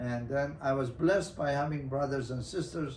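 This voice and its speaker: A man with a Persian accent at medium pitch and a fairly slow pace, with ordinary pitch variation and audible room echo. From Iran, Hamadan. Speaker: broadcaster and producer. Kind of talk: interview. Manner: hesitant, many fillers.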